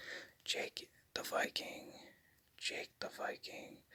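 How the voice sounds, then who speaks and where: The words come as a whisper, delivered at a very slow pace. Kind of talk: ASMR name repetition. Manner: whispered.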